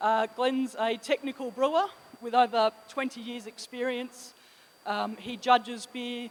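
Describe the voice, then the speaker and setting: A woman with an Australian accent, fairly even intonation and a moderate pace. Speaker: sales manager. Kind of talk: conference presentation.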